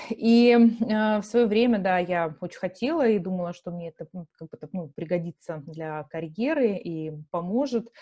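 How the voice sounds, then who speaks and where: A woman with a medium-pitched voice and a dark, mellow tone speaks at a fairly slow pace with lively intonation and big swings in loudness, the sound dry and close with no echo over a quiet background. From Russia, Yekaterinburg (Urals). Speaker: marketing executive, entrepreneur. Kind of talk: interview.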